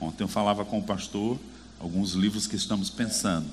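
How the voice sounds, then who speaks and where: There is audible room echo along with noticeable background noise. The man speaks at a moderate pace. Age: 40s. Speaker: preacher. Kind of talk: sermon. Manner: animated.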